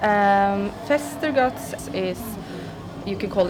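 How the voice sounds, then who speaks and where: Over noticeable background noise, a woman speaks at a medium pitch in a Norwegian accent. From Norway. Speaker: metal musician. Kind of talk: interview.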